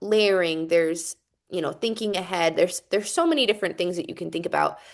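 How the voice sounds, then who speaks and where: A woman speaks in a Utah accent. The background is quiet. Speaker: composer and music educator. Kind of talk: presentation to students over video call. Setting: video call. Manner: casual, with many fillers.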